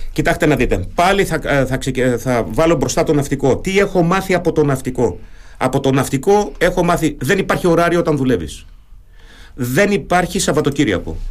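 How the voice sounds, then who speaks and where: A German accent at a moderate pace, with very even loudness and ordinary pitch variation. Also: man, fairly high pitch for a man. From Germany. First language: German (speaking Greek). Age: 50s. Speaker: retired naval officer, local election candidate. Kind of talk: radio interview.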